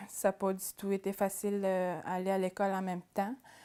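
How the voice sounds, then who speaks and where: A woman speaks at a moderate pace in a Quebec accent, her pitch medium. The recording is very clean, with a silent background. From Atikamekw community, central Quebec. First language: Atikamekw (speaking French). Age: 20s. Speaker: adult education student. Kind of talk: personal testimony interview. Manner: hesitant, with fillers and repetitions.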